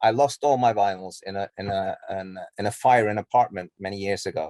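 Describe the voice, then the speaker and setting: A man's dark, mellow voice moves in fairly even intonation, the sound dry and close with no echo on a very clean recording with a silent background. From Norway. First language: Norwegian. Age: 40s. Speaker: musician. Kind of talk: interview. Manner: halting, many repetitions and fillers.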